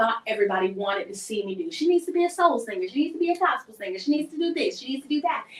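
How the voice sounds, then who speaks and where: A woman talks at a very fast pace in a Southern US accent. Her pitch swings very widely, and there is noticeable background noise. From US South. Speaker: singer and entertainer. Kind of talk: interview.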